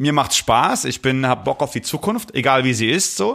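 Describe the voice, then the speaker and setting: Vocal fry runs through a man's medium-pitched voice as he talks at a moderate pace with ordinary pitch variation. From Palatinate, Germany. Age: 30s. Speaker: DJ and musician. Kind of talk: casual chat.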